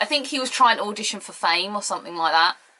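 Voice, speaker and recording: A woman speaks in an animated tone with a British accent. Noticeable background noise is present. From Britain. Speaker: wrestling pundit. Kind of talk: casual video commentary.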